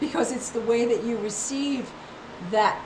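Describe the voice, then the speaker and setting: With an animated tone and fairly high pitch, a woman talks at a moderate pace amid noticeable background noise and audible room echo. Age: 60s. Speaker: health and wellness vlogger. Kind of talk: casual monologue. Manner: repetitive, halting restarts.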